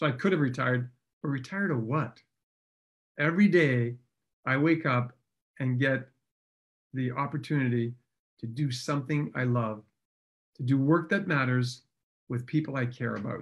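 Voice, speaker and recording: A man talks at a moderate pace and medium pitch, somewhat breathy, with ordinary pitch variation. Long, frequent pauses break up his speech. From French Canada. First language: French. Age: 60s. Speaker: chiropractor. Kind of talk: podcast interview. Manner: animated.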